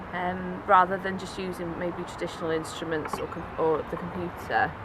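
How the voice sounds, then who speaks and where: The voice comes in a Welsh accent at a fairly slow pace. Audible room echo and noticeable background noise fill the recording. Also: woman. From Wales, Cardiff. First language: Welsh and Cornish. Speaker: musician. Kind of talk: interview. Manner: hesitant, many fillers.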